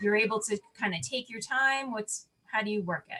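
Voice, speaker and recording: A woman's fairly high voice with lively intonation, with music in the background. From New York. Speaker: interviewer for a designers' network. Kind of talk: interview.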